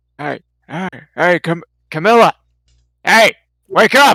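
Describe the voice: In a put-on character voice that is gruff and middle-pitched, the speaker talks at a fairly slow pace.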